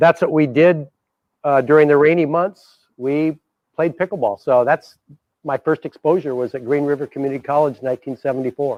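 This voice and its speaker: A man with an American accent and an unremarkable speaking voice talks at a fairly quick pace and fairly high pitch. His intonation stays fairly even, and the sound is dry and close with no echo. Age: 60s. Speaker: pickleball player. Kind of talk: interview.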